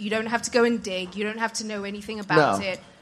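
Speaking in a British accent, a woman keeps her fairly high pitch fairly even in intonation. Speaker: audience member asking a question. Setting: live show audience, handheld mic with echo.

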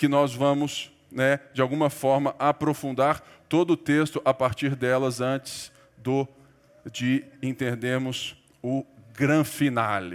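A man with a fairly high pitch and ordinary pitch variation at a very slow pace. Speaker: pastor. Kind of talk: sermon.

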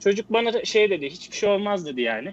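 Pitched high, a man's voice rises and falls with lively intonation. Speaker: guest. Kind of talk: casual chat.

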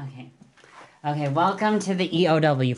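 A woman's voice with ordinary pitch variation. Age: 20s. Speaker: podcast guest. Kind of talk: casual chat. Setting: studio.

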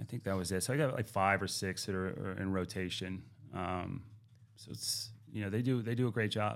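A man with an American accent, fairly low in pitch, with fairly even intonation at a fairly quick pace, a plain, everyday voice. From Pittsburgh, Pennsylvania. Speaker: gym owner and fitness coach. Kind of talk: casual interview.

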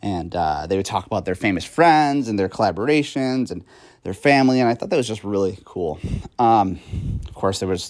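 In a normal speaking voice, a man talks at a fairly quick pace. His pitch is fairly low and his intonation lively. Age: 30s. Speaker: podcast host. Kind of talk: casual monologue. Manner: frequent fillers and laughs.

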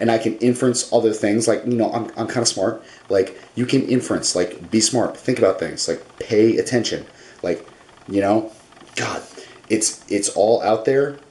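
Over noticeable background noise, the speech moves at a moderate pace with fairly even intonation. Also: man, medium pitch for a man. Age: 20s. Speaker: vlogger. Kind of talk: casual monologue. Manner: low energy.

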